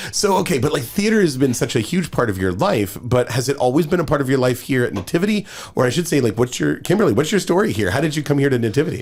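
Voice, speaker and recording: A very fast man with an American accent, fairly high pitch, very wide pitch swings, very even loudness and hardly any pauses. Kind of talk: casual chat.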